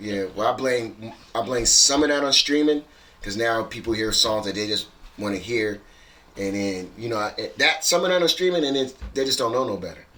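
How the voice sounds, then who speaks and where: A man speaks at a moderate pace with lively intonation and a medium pitch, with noticeable background noise behind him. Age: 50s. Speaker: DJ. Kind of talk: casual chat.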